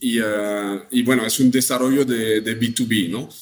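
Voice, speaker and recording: In a French accent, a man speaks at a medium pitch and a fairly slow pace, his intonation monotone and flat. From northern France. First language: French (speaking Spanish). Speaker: travel company sales director. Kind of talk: interview. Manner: halting.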